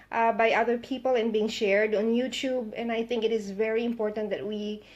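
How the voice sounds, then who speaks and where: Fairly quick and fairly high in pitch, a woman with a Western Visayas accent talks with fairly even intonation. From Philippines, Visayas (Ilonggo). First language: Hiligaynon. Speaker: political vlogger. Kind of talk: live monologue. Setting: Facebook live video.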